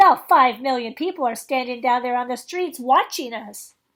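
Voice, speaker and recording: A woman speaks in a put-on character voice. It sits high in pitch and moves at a moderate pace. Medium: read story. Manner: excitable, shouting.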